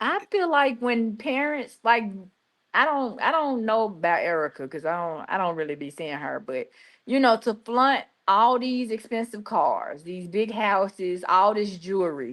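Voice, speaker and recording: With a Memphis accent, a woman talks at a fairly slow pace in a fairly high voice whose pitch swings very widely, over a quiet background. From US South (Memphis, Tennessee). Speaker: youtube reaction host. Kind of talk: live reaction chat. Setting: livestream.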